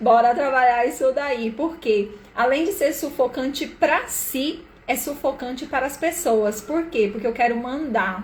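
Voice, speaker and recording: In a Brazilian accent, a woman speaks at a fairly slow pace. Her pitch is high, with ordinary variation. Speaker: live-stream therapist / systemic coach. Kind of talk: live stream talk. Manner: casual, conversational.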